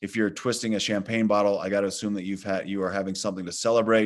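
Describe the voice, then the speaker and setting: A man with an American accent talks at a fairly low pitch in a flat monotone. The background is quiet. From Colorado (Vail). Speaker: orthopaedic hand surgeon. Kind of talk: webinar Q&A. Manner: halting, many fillers.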